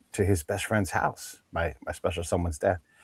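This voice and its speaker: A somewhat breathy voice in a dry, close sound with no echo. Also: man. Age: 50s. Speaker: podcast co-host. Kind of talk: casual interview conversation.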